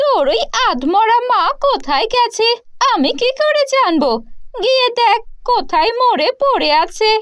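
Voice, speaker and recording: A woman uses a put-on character voice with an extremely high pitch. She speaks at a fairly slow pace. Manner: harsh, angry.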